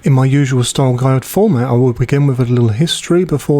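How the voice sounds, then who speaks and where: Ordinary pitch variation in a man's dark, mellow tone. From Britain. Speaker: homebrewing youtuber. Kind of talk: scripted narration. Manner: formal.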